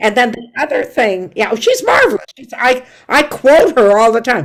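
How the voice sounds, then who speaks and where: The voice carries vocal fry. Its pitch swings very widely. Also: woman. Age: 80s+. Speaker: stand-up comedian. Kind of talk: interview answer.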